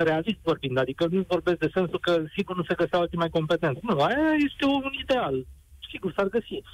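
In a dry, close sound with no echo, a man speaks at a high pitch with lively intonation. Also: moderate pace. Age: 40s. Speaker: caller. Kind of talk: call-in comment. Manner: halting, many fillers.

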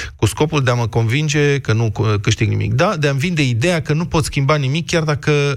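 A man's somewhat breathy voice at a moderate pace. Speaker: radio host, journalist. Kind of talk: radio debate show.

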